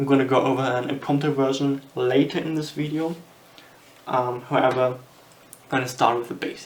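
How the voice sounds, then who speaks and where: At a moderate pace, the speaker talks with a German accent over noticeable background noise. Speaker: magician. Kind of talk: tutorial. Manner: halting.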